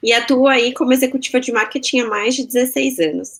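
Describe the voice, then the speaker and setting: At a moderate pace, a woman with a São Paulo accent speaks at a fairly high pitch with lively intonation. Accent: Brazilian Portuguese, paulistano. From Brazil, São Paulo. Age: 30s. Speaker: marketing executive. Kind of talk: interview.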